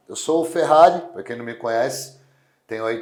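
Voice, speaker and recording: Medium pitch from a man, ordinary pitch variation and audible room echo. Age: 40s. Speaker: strongman athlete. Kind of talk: interview. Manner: casual, lively storytelling.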